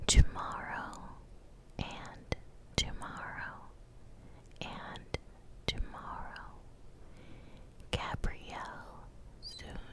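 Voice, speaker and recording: Whispering at a very slow pace with long, frequent pauses, a woman is heard over noticeable background noise. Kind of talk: ASMR whispered book talk. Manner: whispered.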